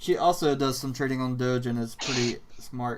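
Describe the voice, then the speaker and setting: A man with a North Carolina accent speaks at a medium pitch. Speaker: crypto livestream host. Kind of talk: casual chat.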